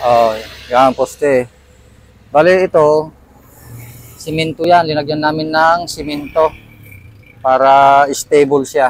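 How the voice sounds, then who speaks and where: A man's fairly high voice at a very slow pace, with long, frequent pauses and fairly even intonation. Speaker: vlogger and small food business owner. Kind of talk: casual vlog tour.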